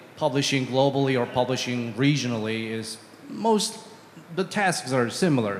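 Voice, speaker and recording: With noticeable background noise behind him, a man speaks at a moderate pace and medium pitch, his intonation lively. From China. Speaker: game publishing manager. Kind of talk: panel discussion. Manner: halting, many fillers and repetitions.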